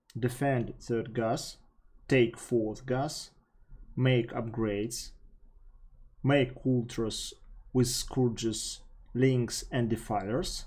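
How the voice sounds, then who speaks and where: At a very slow pace, a man speaks with a medium pitch and fairly even intonation. His voice is somewhat breathy, broken by long, frequent pauses. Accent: Russian. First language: Russian. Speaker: StarCraft coach. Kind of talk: gameplay coaching commentary.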